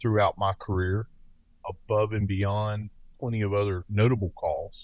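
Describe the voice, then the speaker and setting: Someone with a Southern US accent talks at a moderate pace over a quiet background. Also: man. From US South. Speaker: paramedic and former police officer. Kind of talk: interview.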